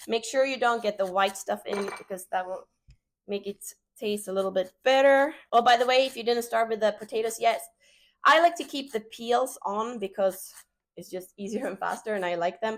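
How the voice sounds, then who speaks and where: With a Swedish accent, a woman speaks at a moderate pace in a fairly high voice, showing ordinary pitch variation and big swings in loudness. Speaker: home cook, cooking channel host. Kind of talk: cooking tutorial. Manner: casual, frequent filler 'uh'.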